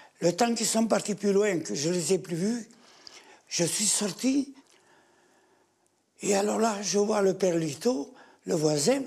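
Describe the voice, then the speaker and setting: Long pauses come often as the speech creeps along very slowly. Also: man, high pitch for a man, ordinary pitch variation. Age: 80s+. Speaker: massacre survivant. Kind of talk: testimony. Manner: halting, repetitive.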